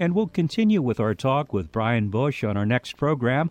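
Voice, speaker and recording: A man with an unremarkable speaking voice, lively intonation and a moderate pace, set against a quiet background. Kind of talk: interview and show announcements.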